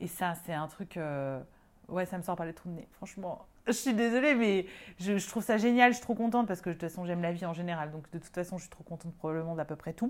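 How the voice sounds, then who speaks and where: A woman speaks very fast at a fairly low pitch, with ordinary pitch variation. Her loudness swings in big jumps. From France, Lyon. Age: 30s. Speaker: medium and energy healer. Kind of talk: casual interview.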